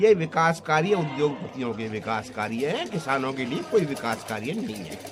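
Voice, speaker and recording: Over noticeable background noise, a man with a fairly high pitch speaks with very wide pitch swings and big swings in loudness. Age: 60s. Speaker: farmer. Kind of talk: interview. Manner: animated.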